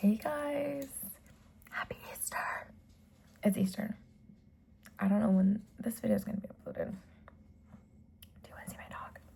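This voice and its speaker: Soft-spoken whispering comes at a fairly slow pace, broken by long, frequent pauses. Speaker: ASMR creator. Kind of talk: ASMR soft-spoken storytime. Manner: soft-spoken, whispered.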